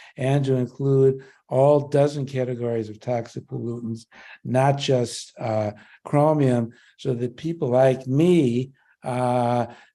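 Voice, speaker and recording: A man speaks at a fairly slow pace in a dark, mellow tone. His intonation stays fairly even against a quiet background. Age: 70s. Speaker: public hearing commenter. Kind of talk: public testimony. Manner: halting, with frequent fillers.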